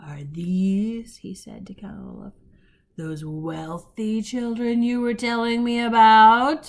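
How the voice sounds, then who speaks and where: Using a put-on character voice, a woman speaks fairly slowly at a fairly high pitch, with lively intonation and big swings in loudness. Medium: read story. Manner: leering.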